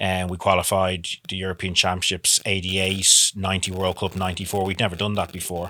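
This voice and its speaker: Very deep and low, this man's voice has a bright, sharp tone and an Irish accent. He speaks flatly, in a monotone, at a fairly quick pace. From Ireland, Dublin. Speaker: former professional soccer player. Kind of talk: interview.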